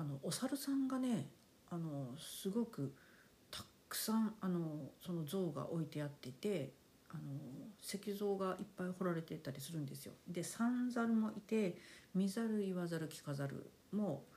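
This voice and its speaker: A woman speaks at a medium pitch and a fairly slow pace, with lively intonation. Her voice is somewhat breathy, with a dark, mellow tone. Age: 50s. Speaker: podcast host. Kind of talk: casual monologue. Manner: polite, relaxed.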